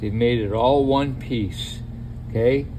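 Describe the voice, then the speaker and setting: A man speaks with a Boston accent at a fairly slow pace, his pitch medium with ordinary variation. There's audible room echo and noticeable background noise. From New England, Boston area. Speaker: DIY mechanic. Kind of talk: tutorial. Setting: home garage. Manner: casual, conversational.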